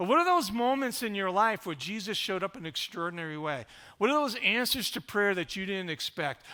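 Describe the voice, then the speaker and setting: At a fairly quick pace, a raised, projected voice with a bright, sharp tone comes through on a very clean recording with a silent background. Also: man. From Rhode Island. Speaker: pastor. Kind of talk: sermon.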